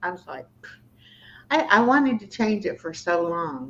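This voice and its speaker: With lively intonation, an unremarkable speaking voice moves along at a moderate pace. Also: woman. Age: 60s. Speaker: YouTuber. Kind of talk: casual chat. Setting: livestream.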